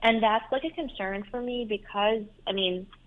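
A woman with an Iranian accent at a fairly slow pace. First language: Farsi. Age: 20s. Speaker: caller. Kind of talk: personal advice call. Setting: phone call. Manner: halting, many fillers.

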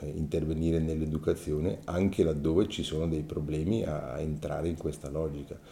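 A man's very deep, low voice, somewhat breathy, with a dark, mellow tone at a moderate pace. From Ticino, Switzerland (Mendrisiotto). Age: 60s. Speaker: former teacher-trainee, interviewee. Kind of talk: personal testimony. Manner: halting, with frequent fillers.

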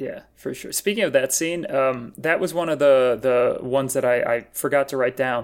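An ordinary speaking voice, a man's, sits at a fairly high pitch, with an American accent, ordinary pitch variation and a moderate pace. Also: hardly any pauses. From US Midwest, Wisconsin. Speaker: comedian. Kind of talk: casual chat.

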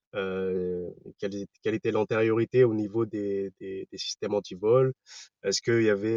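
A man speaks at a moderate pace in a fairly low pitch, his intonation fairly even. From Paris region, France (Val-d'Oise suburbs). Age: 40s. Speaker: startup founder. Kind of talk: interview. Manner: hesitant, many fillers.

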